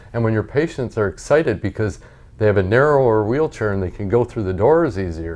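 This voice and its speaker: This man has an unremarkable speaking voice, fairly low in pitch, with an American accent. His intonation is lively and his pace fairly quick. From Montana, US. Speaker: family doctor. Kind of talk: casual interview chat. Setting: in person, visiting host in studio.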